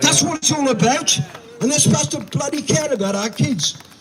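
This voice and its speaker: An animated tone at a moderate pace amid noticeable background noise. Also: man. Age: 70s. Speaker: protest speaker. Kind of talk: protest speech.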